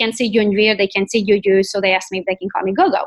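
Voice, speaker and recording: With a Romanian accent, a woman speaks at a medium pitch with ordinary pitch variation. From Romania, Transylvania. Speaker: real estate agent. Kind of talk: interview, life story.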